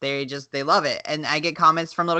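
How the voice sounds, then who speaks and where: Over a quiet background, a woman with a slight Southern US accent talks at a fairly quick pace, her fairly low-pitched voice bright and sharp in tone. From US South. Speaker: podcast co-host. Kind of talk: casual chat.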